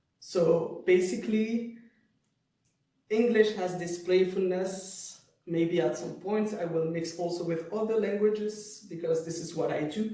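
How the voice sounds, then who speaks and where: A man with a French accent speaks at a fairly slow pace in a high pitch, his intonation fairly even, with audible room echo. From Switzerland (French-speaking). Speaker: poet and cultural studies lecturer. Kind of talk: Q&A discussion after lecture.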